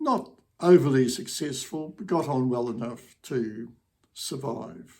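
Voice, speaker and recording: Spoken very slowly with a New Zealand accent, the voice has lively intonation and big swings in loudness. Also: man, medium pitch for a man. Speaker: retired academic and local historian. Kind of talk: casual educational talk.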